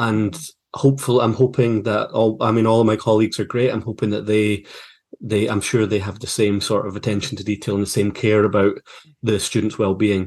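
A man with a Scottish accent, fairly low in pitch, with monotone, flat intonation at a fairly quick pace. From Scotland, Fife. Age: 40s. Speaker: filmmaker and university lecturer. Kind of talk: interview.

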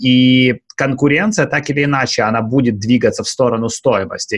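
A man's medium-pitched voice, a plain, everyday voice, with fairly even intonation at a moderate pace, in a dry, close sound with no echo. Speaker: podcast co-host. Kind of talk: podcast interview.

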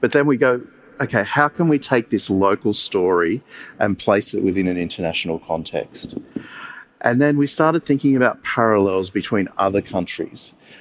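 This man's intonation is lively. His pace stays moderate. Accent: Australian. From Sydney, Australia. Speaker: museum director. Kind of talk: panel discussion.

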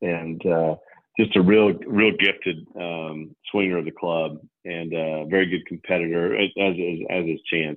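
With an American accent, a man speaks fairly slowly in a very deep, low voice, his intonation monotone and flat. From Oklahoma, Bartlesville. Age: 50s. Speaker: golf club professional. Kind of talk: interview.

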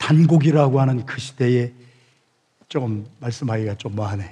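There is audible room echo as a man speaks at a fairly slow pace, somewhat breathy, with a dark, mellow tone and lively intonation. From South Korea, Chungcheong (Yesan). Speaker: pastor. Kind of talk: sermon.

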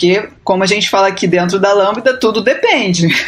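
In a Rio de Janeiro accent, a woman speaks at a medium pitch and moderate pace, with noticeable background noise. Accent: carioca accent, noticeable. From Rio de Janeiro, Brazil. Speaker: UX researcher. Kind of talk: casual panel discussion.

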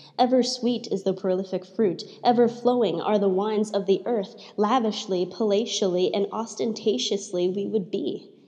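In an unremarkable speaking voice, a woman with an American accent and fairly high pitch talks at a moderate pace with hardly any pauses and ordinary pitch variation. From southern Arizona. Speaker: poet. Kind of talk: reading aloud; casual chat.

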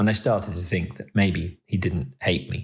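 In a British accent, a man speaks at a moderate pace in a calm, somewhat breathy tone against a quiet background. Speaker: columnist reading his own column. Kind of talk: literary audiobook reading of a country column. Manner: calm, measured, understated.

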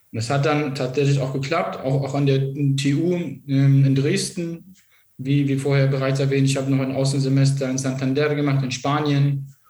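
This man has a fairly high pitch and a monotone, flat intonation. He speaks at a moderate pace, with audible room echo. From eastern Germany (Vogtland, Saxony), born in Iraq. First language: not German (Iraq) (speaking German). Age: young. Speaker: politician, civil engineer. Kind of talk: interview.

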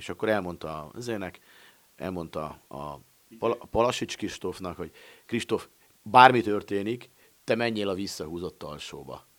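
With long, frequent pauses and big swings in loudness, a man speaks at a fairly low pitch on a very clean recording with a silent background. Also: ordinary pitch variation, moderate pace. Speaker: sports journalist. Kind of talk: casual sports discussion.

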